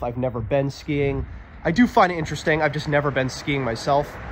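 A man's moderate-paced speech, with ordinary pitch variation, is heard over noticeable background noise. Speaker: explorer vlogger. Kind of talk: casual vlog commentary. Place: open country. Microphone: phone near.

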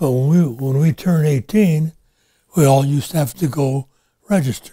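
This man speaks at a moderate pace in a fairly high, dark and mellow voice that is somewhat breathy, with ordinary pitch variation over a quiet background. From United States. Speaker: war veteran. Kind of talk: interview answer. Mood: calm, reflective. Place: home room.

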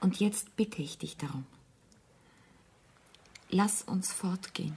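A woman puts on a character voice with a husky, rough edge, vocal fry and a slightly mellow tone, pitched fairly low with ordinary pitch variation, at a slow pace.

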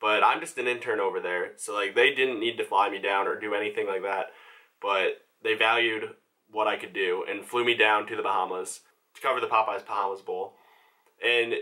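A man talks at a fairly quick pace. Nothing much is heard behind him, as the background is quiet. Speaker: photography intern vlogger. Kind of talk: casual vlog chat. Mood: enthusiastic storytelling. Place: home room.

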